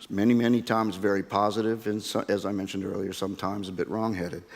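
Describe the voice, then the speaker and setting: A man's fairly low-pitched voice at a very fast pace. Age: 60s. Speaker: oil and gas industry executive. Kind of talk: conference talk. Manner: halting, with repeated words.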